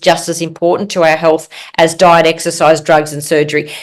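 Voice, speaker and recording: A woman with an Australian accent. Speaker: physician and author. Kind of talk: interview.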